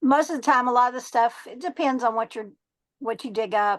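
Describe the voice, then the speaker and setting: Over a quiet background, a woman with a fairly high voice talks at a moderate pace with ordinary pitch variation. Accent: Texan. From Texas. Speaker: treasure hunter and metal detectorist. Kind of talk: podcast interview. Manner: halting, many fillers.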